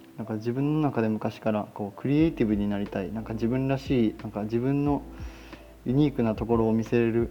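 Speaking at a fairly quick pace, a man talks in a Kansai accent. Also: medium pitch for a man, ordinary pitch variation. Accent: Kansai Japanese. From Osaka, Japan. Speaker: podcast host, Japanese teacher. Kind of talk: casual solo talk. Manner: halting, many fillers.

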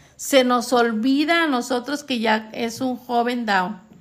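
This woman's voice is high in pitch. Her intonation varies in an ordinary way. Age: 50s. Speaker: mother. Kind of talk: casual family conversation.

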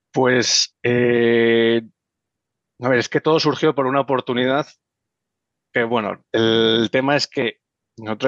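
A man with a Madrid accent at medium pitch, fairly slow pace, dry, close sound with no echo, and a quiet background. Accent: Castilian Spanish (Madrid). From Madrid, Spain. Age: 20s. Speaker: real estate investor. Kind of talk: interview.

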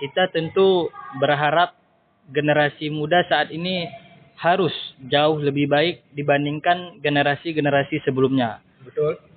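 A man talks at a fairly slow pace with a fairly high pitch. His intonation stays fairly even. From Indonesia. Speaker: university student. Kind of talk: podcast interview. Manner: hesitant, many filler sounds.

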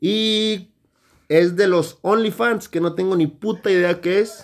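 A man speaks at a high pitch. The recording is very clean, with a silent background. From northern Mexico. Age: 20s. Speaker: podcast host. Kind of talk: casual chat.

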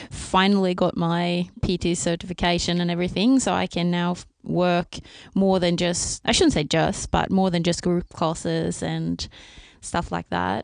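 Against a quiet background, the speaker talks at a moderate pace with a Swedish accent. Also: woman. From Sweden. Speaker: former race walker and personal trainer. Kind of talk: casual interview chat.

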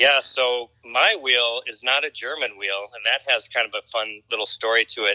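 A man at a moderate pace with hardly any pauses, in a dry, close sound with no echo. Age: 50s. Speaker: retired acrobatic performer. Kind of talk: interview. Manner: hesitant, with many fillers.

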